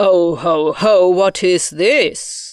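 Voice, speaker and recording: This put-on character voice sits at a middle pitch against a quiet background. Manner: booming, bellowing.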